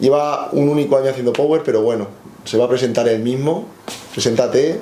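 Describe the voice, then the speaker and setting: With noticeable background noise and audible room echo, a man talks at a fairly quick pace and medium pitch, with ordinary pitch variation and very even loudness. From Spain. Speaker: strength coach. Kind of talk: interview.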